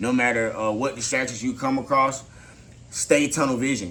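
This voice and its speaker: A man with fairly even intonation and audible room echo. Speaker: motivational vlogger. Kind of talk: motivational talk to camera. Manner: halting.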